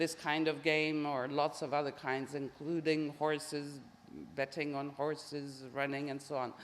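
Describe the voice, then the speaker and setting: In a very deep, low voice, a woman speaks with monotone, flat intonation. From France. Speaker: professor, social psychologist. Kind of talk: Q&A answer after lecture. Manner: hesitant.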